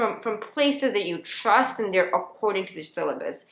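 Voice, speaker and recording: Here a woman speaks with a fairly high pitch and lively intonation. Her pace is moderate. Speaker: lawyer and study-resource vlogger. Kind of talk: casual advice vlog. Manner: hesitant, many fillers and restarts.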